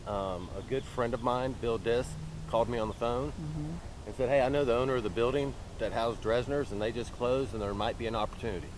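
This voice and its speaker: Over noticeable background noise, a man talks at a very fast pace in a dry sound with no echo. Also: ordinary pitch variation. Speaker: guest. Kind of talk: interview answer. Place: street.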